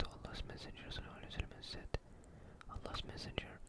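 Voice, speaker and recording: A whisper is heard against noticeable background noise. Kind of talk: soft ASMR reading of religious texts. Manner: soft, calming.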